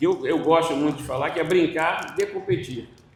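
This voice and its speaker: Moderate pace with audible room echo. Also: man. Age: 60s. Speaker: panel moderator, former swimming coach. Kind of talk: panel discussion.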